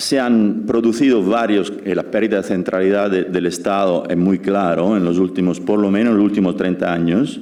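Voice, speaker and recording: Recorded with audible room echo, a man with an Italian accent speaks at a moderate pace in a dark, mellow tone, his fairly low pitch showing ordinary variation. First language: Italian (speaking Spanish). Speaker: law professor. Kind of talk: lecture. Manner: halting.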